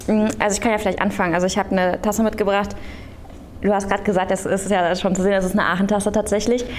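Very fast and monotone, a woman of medium pitch speaks with very even loudness, with audible room echo and noticeable background noise. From Aachen, western Germany. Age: 30s. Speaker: local politician and candidate. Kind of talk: panel discussion before live audience. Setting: theatre stage with audience.

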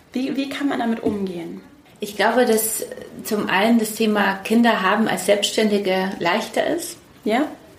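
A woman speaks at a moderate pace and a fairly high pitch, with ordinary pitch variation. Noticeable background noise and audible room echo surround her. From Poland, raised in Munich. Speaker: publishing executive. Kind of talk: interview. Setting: in-person at her office.

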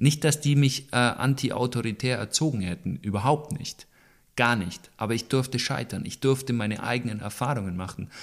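A plain, everyday voice at a moderate pace with ordinary pitch variation, on a very clean recording with a silent background. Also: man, medium pitch for a man. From Allgäu, Bavaria, Germany. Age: 20s. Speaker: wheelchair athlete and motivational speaker. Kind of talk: interview. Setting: at home, in his living room.

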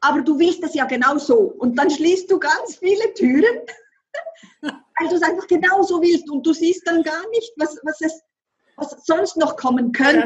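A woman with a Swiss accent speaks at an extremely high pitch, her intonation lively. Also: fairly slow pace. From French-speaking Switzerland. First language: French (speaking German). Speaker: author and manifestation coach. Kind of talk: interview conversation.

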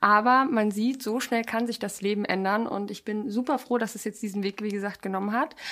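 With an unremarkable speaking voice, a woman talks at a fairly quick pace with hardly any pauses, her fairly high pitch held in fairly even intonation. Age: 20s. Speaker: podcast co-host, former model contestant and animal rescue activist. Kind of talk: casual chat.

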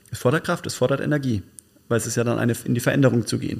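A man's medium-pitched voice with vocal fry and ordinary pitch variation. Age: 40s. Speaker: podcast co-host. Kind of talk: casual chat. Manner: halting.

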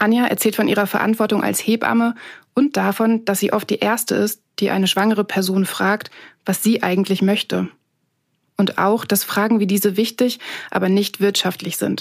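A woman's medium-pitched voice at a moderate pace, monotone and flat in intonation, with very even loudness. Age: 30s. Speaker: journalist and podcast host. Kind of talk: scripted narration with interviews.

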